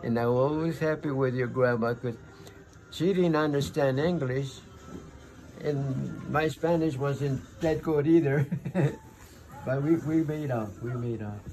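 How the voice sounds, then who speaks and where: A man speaks at a fairly slow pace with ordinary pitch variation. He leaves long, frequent pauses while faint music plays behind him. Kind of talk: storytelling and advice to a child. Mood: warm, fond, reminiscing. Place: home room. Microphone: phone near.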